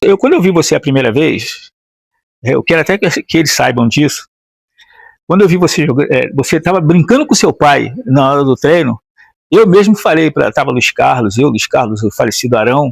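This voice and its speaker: The man's pitch sits fairly high, and his intonation is lively at a moderate pace. His loudness stays very even, with a dry, close sound and no echo. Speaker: former footballer interviewer. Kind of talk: interview. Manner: hesitant, halting.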